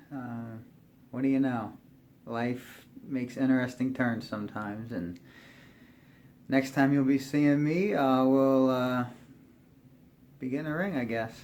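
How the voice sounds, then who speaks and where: A man speaks at a medium pitch and a fairly slow pace, with ordinary pitch variation, long, frequent pauses and audible room echo. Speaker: YouTuber. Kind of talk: video diary. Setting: barn with heater. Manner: casual, hesitant with fillers; loud.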